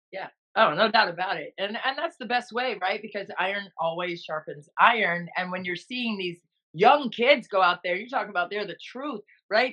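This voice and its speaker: A woman speaks at a moderate pace in a normal speaking voice of medium pitch. Her pitch varies in an ordinary way, while her loudness swings a lot. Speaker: podcast host, television broadcaster. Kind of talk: sports podcast host.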